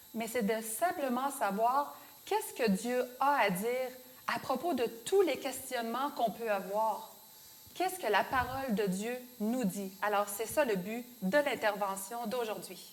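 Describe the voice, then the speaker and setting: Against noticeable background noise, a woman with a Beauce Quebec accent and fairly high pitch speaks at a fairly slow pace with lively intonation. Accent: Beauce Québécois French. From Quebec, Beauce. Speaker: show co-host. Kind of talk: religious Q&A show.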